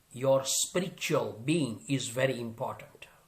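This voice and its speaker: A somewhat breathy man's voice with very wide pitch swings. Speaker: motivational speaker and corporate trainer. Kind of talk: motivational speech to an audience.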